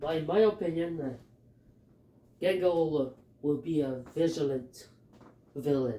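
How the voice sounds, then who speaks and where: A man with a Filipino accent speaks at a fairly slow pace in a fairly high, dark, mellow voice, with long, frequent pauses. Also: ordinary pitch variation. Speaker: YouTuber. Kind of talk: casual fan theory monologue. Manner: halting, many fillers; animated.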